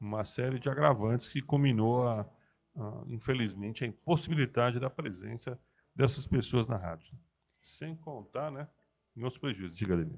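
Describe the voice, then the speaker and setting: A man with a normal speaking voice talks at a moderate speed, keeping a medium pitch and ordinary pitch variation. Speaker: radio host. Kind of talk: casual chat.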